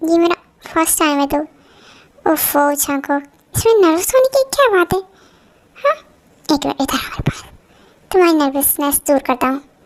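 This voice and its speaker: A woman does a put-on character voice, squeaky and extremely high-pitched, with lively intonation. She moves at a moderate pace and leaves long, frequent pauses. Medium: fan dub. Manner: teasing, confident.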